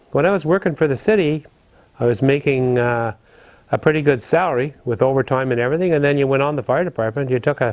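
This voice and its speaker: A man speaks at a fairly quick pace in an Ontario accent, his medium pitch showing ordinary variation. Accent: Canadian English (Ontario). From Ottawa, Canada. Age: 70s. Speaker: retired firefighter. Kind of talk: interview.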